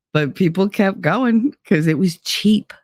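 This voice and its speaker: With a New Jersey accent and lively intonation, a man speaks fairly slowly on a very clean recording with a silent background, dry and close with no echo. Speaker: livestream host. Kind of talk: casual livestream chat reading comments.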